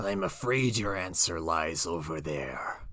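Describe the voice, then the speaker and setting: Using a put-on character voice, a man speaks fairly slowly with a raspy, very deep, low pitch and lively intonation. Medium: machinima. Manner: measured, grave.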